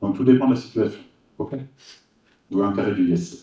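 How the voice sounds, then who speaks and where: A man speaks in a somewhat breathy voice. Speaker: hypnosis trainer. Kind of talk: workshop presentation. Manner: fast, many repetitions and fillers.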